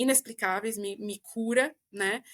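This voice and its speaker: A woman's voice comes across with a dry, close sound and no echo. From São Paulo, Brazil. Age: 20s. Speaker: podcaster. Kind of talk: casual chat. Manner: slow.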